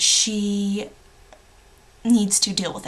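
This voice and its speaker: A woman's medium-pitched voice at a very slow pace, with noticeable background noise. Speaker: book vlogger. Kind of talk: casual vlog review.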